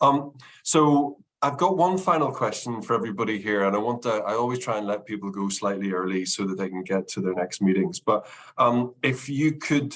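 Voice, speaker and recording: Speaking at a fairly quick pace with lively intonation, a man with a Northern Irish accent uses a medium pitch. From Northern Ireland. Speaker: consultancy managing director, webinar host. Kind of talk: webinar Q&A moderation.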